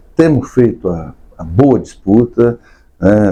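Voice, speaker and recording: A man's voice with a dark, mellow tone. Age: 60s. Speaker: state politician. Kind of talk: podcast interview.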